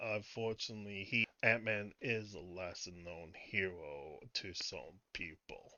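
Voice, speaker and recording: Quiet and fairly low-pitched, a man speaks at a fairly slow pace with hardly any pauses, ordinary pitch variation and big swings in loudness. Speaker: YouTube movie reviewer. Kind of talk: casual video commentary. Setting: at home late at night. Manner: quiet, voice kept low; halting with repetitions.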